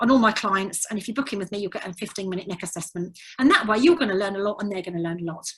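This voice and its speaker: Here a woman talks with an English accent. Her intonation is lively. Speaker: physiotherapist and tutor. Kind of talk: webinar lecture. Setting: online webinar. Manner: fast.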